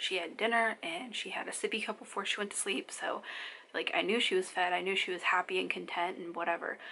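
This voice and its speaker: A soft-spoken woman talks at a very fast pace. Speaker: mom vlogger. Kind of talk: casual chat.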